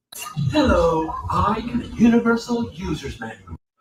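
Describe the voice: A robotic put-on character voice, fairly high in pitch, at a moderate pace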